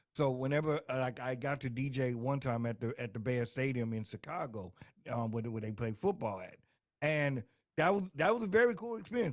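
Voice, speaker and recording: In a very clean recording with a silent background, a man speaks with a normal speaking voice at a medium pitch, using lively intonation and a fairly quick pace. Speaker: radio DJ. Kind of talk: radio interview host, casual.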